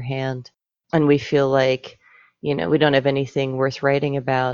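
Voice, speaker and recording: A monotone, flat delivery at a moderate pace, with a dry, close sound and no echo. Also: woman. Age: 40s. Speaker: poet and editor. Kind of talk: interview. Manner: hesitant, many fillers.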